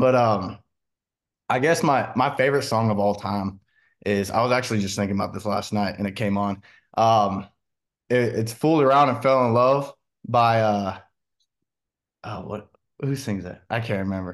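A man with an American accent talks at a medium pitch and a moderate pace, with ordinary pitch variation. He leaves long, frequent pauses against a quiet background. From Washington State, US. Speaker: country singer. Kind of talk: interview.

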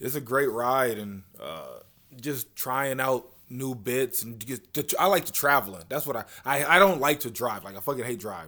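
Here is a man with an American accent and an ordinary speaking voice. He talks at a moderate pace with ordinary pitch variation. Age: 30s. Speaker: comedian. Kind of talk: casual chat.

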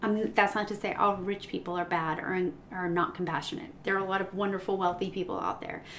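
Through noticeable background noise, a woman speaks at a very fast pace with hardly any pauses and fairly even intonation. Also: medium pitch for a woman. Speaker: teacher and podcast host. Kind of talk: casual chat. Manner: loud, projecting.

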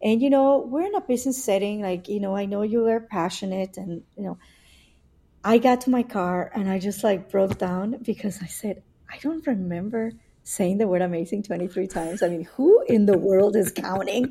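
A somewhat breathy, dark, mellow voice in a Spanish accent, at a moderate pace with ordinary pitch variation. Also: woman, medium pitch for a woman. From Mexico City. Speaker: entrepreneur and pilot. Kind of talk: casual interview chat.

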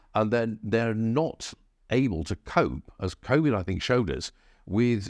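A man with an English accent and lively intonation at a moderate pace, dry and close with no echo against a quiet background. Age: 60s. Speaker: historian and think tank fellow. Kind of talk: book talk at a live event.

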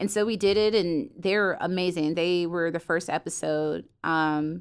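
A woman with an American accent at medium pitch, ordinary pitch variation and a very slow pace, on a very clean recording with a silent background. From US South, Fayetteville, North Carolina. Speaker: photographer and content producer. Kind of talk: interview. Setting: studio.

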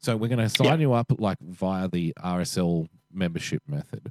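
In an Australian accent with lively intonation, the speaker goes at a moderate pace on a very clean, dry, close recording with a silent background and no echo. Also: man. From Australia, Western Sydney. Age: 40s. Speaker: podcast co-host. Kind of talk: casual chat.

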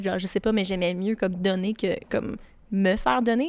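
With a Quebec accent, a woman speaks at a medium pitch. She moves at a fairly quick pace with ordinary pitch variation. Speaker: podcast co-host. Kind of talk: casual chat. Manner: calm.

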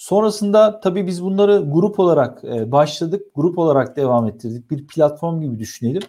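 A man with a high pitch and a dark, mellow tone talks at a moderate pace. His intonation is lively and he hardly pauses. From Turkey, Istanbul. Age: 40s. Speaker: IT association founder and TV presenter. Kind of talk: interview.

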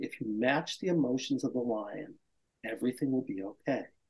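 Using a put-on character voice, a man booms at a medium pitch and a fairly quick pace.

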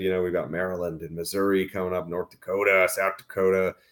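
A man with a fairly low voice speaks at a fairly quick pace in a normal speaking voice. The recording is very clean, with a silent background. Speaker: cannabis business media executive. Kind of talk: podcast interview.

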